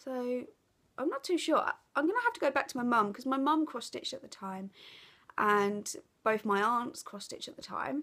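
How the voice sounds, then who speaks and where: With lively intonation and big swings in loudness, a woman speaks at a moderate pace in a high voice. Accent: Essex. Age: 30s. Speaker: craft vlogger. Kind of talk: casual chat. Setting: living room at home. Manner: hesitant, many fillers.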